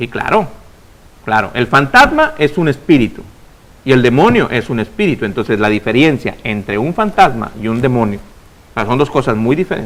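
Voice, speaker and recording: The man's intonation is lively. His voice sits at a medium pitch. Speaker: preacher and radio host. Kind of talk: preaching on a religious call-in program. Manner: fast; loud.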